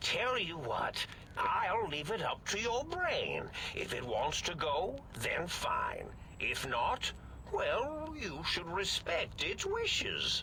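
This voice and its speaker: Over clear background noise, a man puts on a character voice and speaks at a very slow pace. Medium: game stream. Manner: rambling, erratic.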